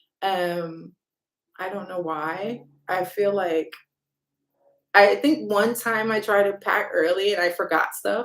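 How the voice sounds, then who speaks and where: A woman's medium-pitched voice with ordinary pitch variation, at a very slow pace with long, frequent pauses. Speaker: travel vlogger. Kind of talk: livestream chat with viewers. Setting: livestream. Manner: loud; casual, rambling with fillers.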